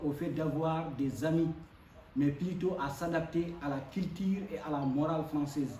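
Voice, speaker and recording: A man's fairly high voice with a West African accent and fairly even intonation, at a fairly slow pace, with noticeable background noise and audible room echo. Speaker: foreign student speaker. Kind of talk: speech at a community event. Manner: hesitant, many fillers.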